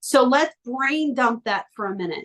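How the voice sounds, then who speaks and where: A woman's fairly high, animated voice at a fairly slow pace with ordinary pitch variation. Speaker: life coach. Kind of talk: coaching workshop.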